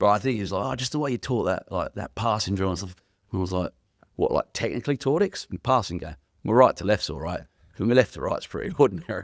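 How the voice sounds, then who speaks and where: Speaking very fast with lively intonation and an English accent, a man with a fairly low voice is heard in a very clean recording with a silent background. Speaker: youth worker and former rugby league coach. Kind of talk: casual interview chat. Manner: loud, carrying.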